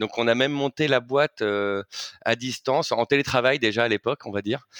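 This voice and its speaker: The sound is dry and close, with no echo. A man speaks at a medium pitch and moderate pace with ordinary pitch variation. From Paris, France. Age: 30s. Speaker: fashion brand co-founder. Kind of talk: interview. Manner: hesitant, many fillers.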